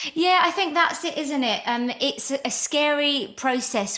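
The voice has lively intonation, and there is noticeable background noise. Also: woman. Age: 40s. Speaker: podcast host and spiritual healer. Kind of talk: casual interview chat. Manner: animated.

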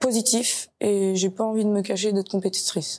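This woman speaks at a very slow pace. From France, Nantes. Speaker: footballer and sports shop employee. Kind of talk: interview.

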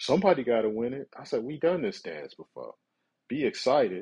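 The speaker is a man with an American accent. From Detroit, Michigan. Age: 40s. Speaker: podcast host, sports fan. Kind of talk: solo monologue podcast.

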